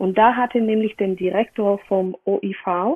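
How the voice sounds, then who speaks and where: Her intonation stays fairly even as this woman speaks at a medium pitch. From Bulgaria. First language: Bulgarian (speaking German). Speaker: wine competition press officer. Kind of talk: interview.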